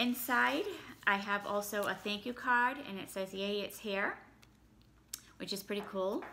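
A woman talks at a fairly slow pace with a bright, sharp tone and ordinary pitch variation. Long, frequent pauses break her speech over light background noise. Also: medium pitch for a woman. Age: 40s. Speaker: YouTuber. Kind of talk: product unboxing. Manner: casual, with fillers. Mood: pleased, mildly excited. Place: home room. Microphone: phone near.

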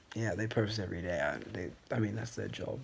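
A man speaks in a fairly low, somewhat breathy voice. His intonation stays fairly even. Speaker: first-time vlogger. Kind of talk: casual vlog chat. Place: home room. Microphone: phone near.

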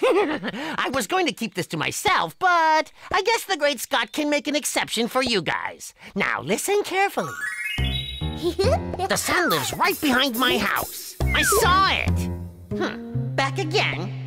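A cartoonish character voice with a fairly high pitch speaks at a fairly slow pace. Faint music sits in the background. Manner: pompous, whiny.

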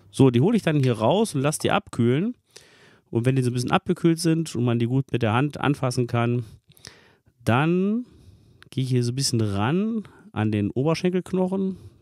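A man speaks in a dark, mellow tone at a moderate pace. He pauses long and often, and the recording is dry with no echo and a quiet background. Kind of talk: tutorial. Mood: cheerful, relaxed. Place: kitchen. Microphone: phone near.

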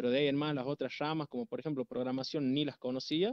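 A man's fairly high-pitched voice against a quiet background. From Argentina. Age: 20s. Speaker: programming student. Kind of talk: casual chat. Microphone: video call.

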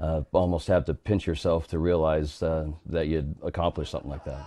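A man speaks in a dark, mellow tone. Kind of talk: interview answer. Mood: warm, nostalgic, smiling. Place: office. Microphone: lapel.

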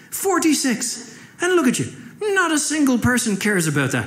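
Amid noticeable background noise, a man with an Irish accent speaks with very wide pitch swings. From Ireland. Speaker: stand-up comedian. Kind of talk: stand-up comedy set.

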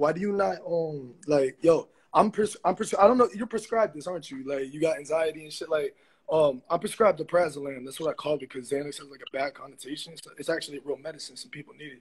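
At a very fast pace, a man talks with a fairly high pitch, ordinary pitch variation and big swings in loudness. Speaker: livestream viewer joining. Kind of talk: casual chat. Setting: video call. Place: home room. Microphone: phone near.

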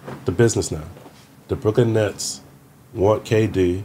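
This man has a fairly low pitch and a somewhat breathy voice, with ordinary pitch variation. He talks at a fairly slow pace over light background noise. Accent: New York. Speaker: former pro basketball player; podcast guest. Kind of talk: casual interview. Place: studio. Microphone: studio mic.

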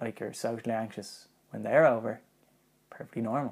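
The speaker here is a man with ordinary pitch variation. He keeps a moderate pace. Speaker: vlogger. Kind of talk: casual vlog chat. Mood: reflective, personal, slightly nervous. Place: home room.

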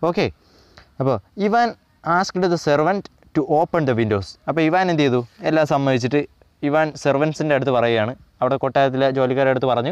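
A man has a normal speaking voice with lively intonation and very even loudness. The sound is dry and close with no echo. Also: fairly high pitch for a man. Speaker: online tutor. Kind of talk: lecture.

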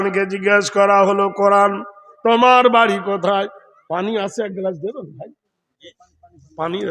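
A man with a high pitch speaks with big swings in loudness. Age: old. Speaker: Islamic preacher. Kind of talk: sermon. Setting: stage with audience. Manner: animated.

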